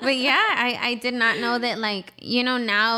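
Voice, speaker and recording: On a very clean recording with a silent background, the voice has a bright, sharp tone and a fairly quick pace. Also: woman. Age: 20s. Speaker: small business owner, artist. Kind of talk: casual interview chat. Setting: studio.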